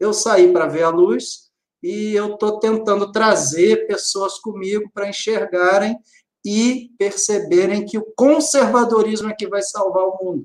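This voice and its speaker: Speaking at a fairly slow pace, a man uses ordinary pitch variation. His voice is high. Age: 40s. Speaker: lawyer and conservative commentator. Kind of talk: live-stream interview.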